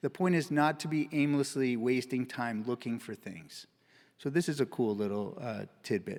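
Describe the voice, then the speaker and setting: A man with an ordinary speaking voice, ordinary pitch variation and a moderate pace, on a very clean recording with a silent background. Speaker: physician giving a conference talk. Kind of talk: conference presentation.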